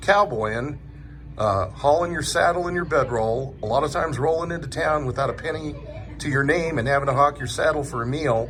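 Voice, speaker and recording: A fairly high-pitched man talks fairly quickly, his pitch varying in an ordinary way, with noticeable background noise behind him. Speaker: truck driver, interviewer. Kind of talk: casual talk to camera.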